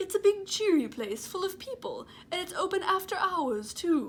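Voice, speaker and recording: The speaker uses a put-on character voice and moves at a moderate pace. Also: woman, extremely high pitch for a woman. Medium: read story.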